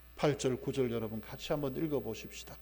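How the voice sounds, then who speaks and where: Audible room echo carries a man's fairly high voice, which has ordinary pitch variation. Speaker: pastor. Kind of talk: sermon.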